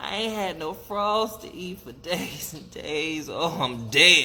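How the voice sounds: A man uses a put-on character voice with a bright, sharp tone and ordinary pitch variation. He goes at a slow pace, and audible room echo surrounds him. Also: fairly high pitch for a man.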